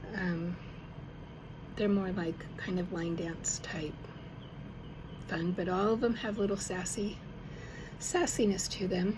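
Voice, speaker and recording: Pausing long and often, a woman at a medium pitch talks at a fairly slow pace with fairly even intonation, and the room echo is audible. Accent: American. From Arkansas and Denver. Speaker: songwriter. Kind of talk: casual personal talk to camera. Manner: halting, with fillers.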